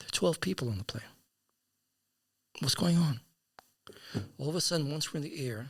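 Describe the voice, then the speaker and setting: Somewhat breathy and fairly high-pitched, a man speaks at a fairly quick pace with lively intonation and long, frequent pauses. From US South (Atlanta). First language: Yiddish. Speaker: podcast guest. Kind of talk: storytelling interview. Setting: studio. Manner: halting, repetitive.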